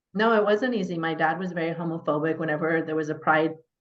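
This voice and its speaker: Fairly low-pitched woman with a Californian accent at a fairly quick pace. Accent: Californian American English. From Northern California. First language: Persian. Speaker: mayor. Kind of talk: interview, personal life story. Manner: conversational with fillers.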